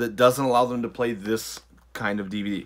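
A man talks with an American accent at medium pitch. His pace is moderate. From US Midwest, Michigan. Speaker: vlogger. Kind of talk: casual vlog talk to camera. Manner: hesitant, many fillers and self-corrections. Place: home room. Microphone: phone near.

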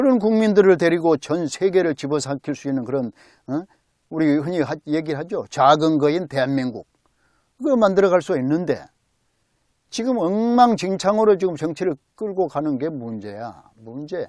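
An animated tone at a moderate pace, with lively intonation over a quiet background. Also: man, fairly high pitch for a man. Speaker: political commentary vlogger. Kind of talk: casual political monologue.

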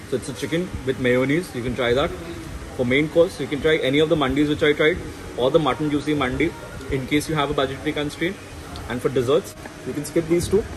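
Against noticeable background noise, a man speaks at a very fast pace with fairly even intonation. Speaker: food reviewer. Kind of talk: food review vlog. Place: cafe. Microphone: phone near.

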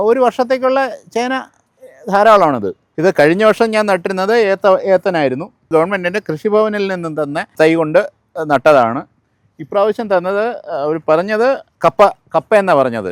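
A high-pitched man speaks with lively intonation, the sound dry and close with no echo. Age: 70s. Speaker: retired government employee, home gardener. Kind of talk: tutorial.

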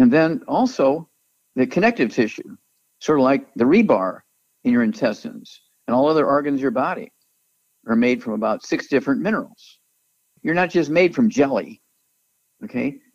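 A man speaks with long, frequent pauses and very wide pitch swings. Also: fairly high pitch for a man, moderate pace. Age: 80s. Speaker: naturopathic doctor and supplement company founder. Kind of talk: promotional interview.

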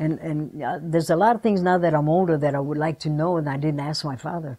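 The woman's pitch is very deep and low, with a dark, mellow tone. Her pitch varies in an ordinary way over a quiet background. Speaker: interviewee. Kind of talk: interview answer. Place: home room.

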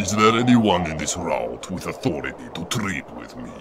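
Over clear background noise, a man puts on a character voice with a very deep, low pitch at a moderate pace. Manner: mocking, insolent.

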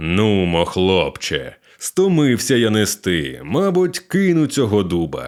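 A man puts on a character voice, pitched fairly low and delivered at a fairly slow pace. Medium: read story. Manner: gruff, slow.

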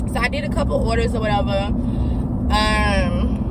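A woman talks at a moderate pace. Loud background noise runs under a dry sound with no echo. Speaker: vlogger. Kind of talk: casual vlog chat. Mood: chatty, mildly exasperated. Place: car. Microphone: phone near.

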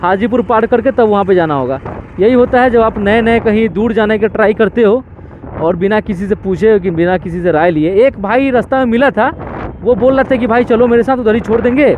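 The pace is moderate. Light background noise sits under a dry sound with no echo. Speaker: motovlogger. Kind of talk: casual vlog chat. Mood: frustrated, regretful. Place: motorbike. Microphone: helmet.

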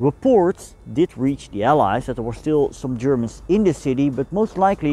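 A man with a Dutch accent, medium pitch and a dark, mellow tone, at a moderate pace with lively intonation. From Netherlands. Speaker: history teacher and YouTuber. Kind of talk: educational narration. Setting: outdoors on location.

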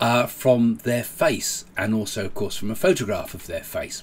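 This voice is somewhat breathy, with very wide pitch swings at a moderate pace. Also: man. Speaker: spiritual commentator. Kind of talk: casual talk-show commentary. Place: home room.

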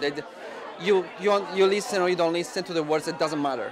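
Against crowd noise in the background, a man with an Italian accent speaks at a high pitch with fairly even intonation. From Italy, Rome. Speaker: film director. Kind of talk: interview. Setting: film festival. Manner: halting, many fillers. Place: hall. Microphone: handheld.

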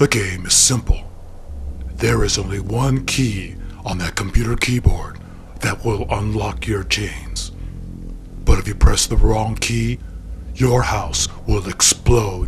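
A man in a put-on character voice, very deep and low-pitched with a menacing tone, talks at a fairly slow pace over clear background noise. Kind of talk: comic horror parody. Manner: slow, menacing, ominous announcements.

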